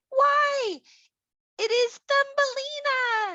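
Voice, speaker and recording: A woman does a put-on character voice that is squeaky and pitched extremely high. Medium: read story.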